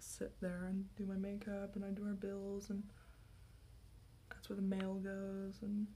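A soft-spoken woman whispering at a moderate pace over light background noise. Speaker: ASMR creator. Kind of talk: soft-spoken ASMR get-ready-with-me talk. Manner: soft-spoken, whispery, chatty, rambling; goofy, casual. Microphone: phone near.

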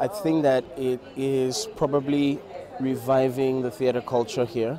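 A man's medium-pitched voice, dark and mellow in tone, with little pitch movement, a fairly slow pace and faint background noise.

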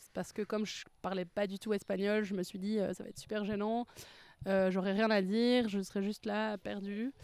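A woman's medium-pitched, monotone, flat voice in a dry sound with no echo. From Belgium. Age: 20s. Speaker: language student. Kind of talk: testimony. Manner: hesitant, many fillers. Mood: relaxed, positive. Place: garden. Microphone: handheld.

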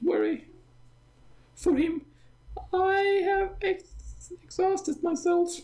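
An extremely high put-on character voice speaks at a very slow pace. Long pauses come often. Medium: game stream. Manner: fretful, motherly.

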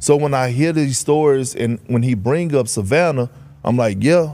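A plain, everyday voice from a man with an American accent, fairly high in pitch, with ordinary pitch variation at a moderate pace. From Texas, Beaumont. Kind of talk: casual chat. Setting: studio.

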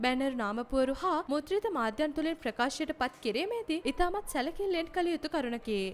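A woman speaks with very wide pitch swings. There is noticeable background noise. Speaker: news narrator. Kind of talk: scripted narration. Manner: formal.

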